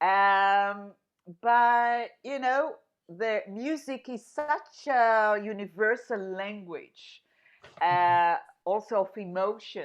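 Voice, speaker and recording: A woman with an Israeli accent, fairly high pitch and ordinary pitch variation, at a very slow pace over a quiet background. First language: Hebrew. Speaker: singer-songwriter. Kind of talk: radio interview. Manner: intense, energetic.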